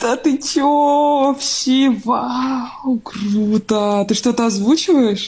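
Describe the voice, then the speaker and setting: Very slow speech with hardly any pauses and ordinary pitch variation. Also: woman, high pitch for a woman. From Novosibirsk, Siberia. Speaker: chat roulette stranger. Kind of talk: casual chat. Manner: animated.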